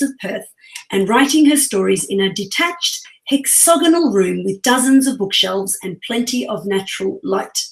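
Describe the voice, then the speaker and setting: A woman's fairly high voice with an Australian accent and lively intonation, over noticeable background noise. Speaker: podcast co-host. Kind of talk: reading aloud a bio; podcast interview.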